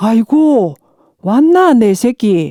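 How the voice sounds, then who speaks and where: In a South Gyeongsang accent, a woman speaks with a dark, mellow tone and very wide pitch swings. The sound is dry and close with no echo, and the recording is very clean against a silent background. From Hadong, South Gyeongsang, South Korea. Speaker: non-professional local resident voice performer. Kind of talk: fairy tale narration.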